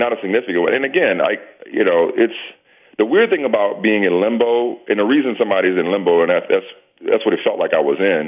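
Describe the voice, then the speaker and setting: Talking at a very fast pace, a man keeps his loudness very even. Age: 40s. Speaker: sports TV anchor and media executive. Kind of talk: casual interview.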